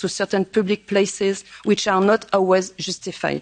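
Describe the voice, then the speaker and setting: At a moderate pace, a woman with a French accent speaks at medium pitch in a dry, close sound with no echo. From France. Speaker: politician. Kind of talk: prepared speech.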